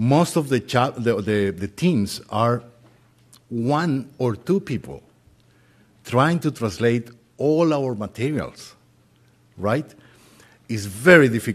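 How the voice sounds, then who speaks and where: Speaking very slowly with long, frequent pauses, a man with a Spanish accent uses a medium pitch and lively intonation. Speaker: volunteer translation coordinator. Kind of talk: short announcement.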